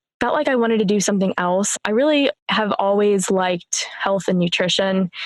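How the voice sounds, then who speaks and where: A woman's medium-pitched voice with ordinary pitch variation at a moderate pace. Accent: American. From US Midwest, Warren, Northeast Ohio. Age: 20s. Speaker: sales engineer, podcaster, coaching client. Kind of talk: podcast interview.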